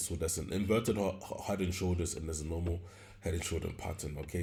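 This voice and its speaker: Somewhat breathy, a man with a very deep, low voice speaks with fairly even intonation amid audible room echo. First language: not English. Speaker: forex trading teacher. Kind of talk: tutorial. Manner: halting, with many fillers and self-corrections; casual.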